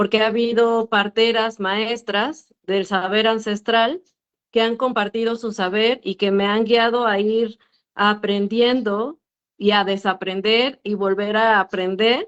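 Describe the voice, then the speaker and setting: Very slow speech with fairly even intonation. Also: woman, fairly high pitch for a woman. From Mexico, urban area. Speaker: midwife. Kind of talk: panel discussion. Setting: video call.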